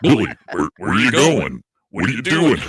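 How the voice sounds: Raspy, put-on character voice from a man at a moderate pace. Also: medium pitch for a man.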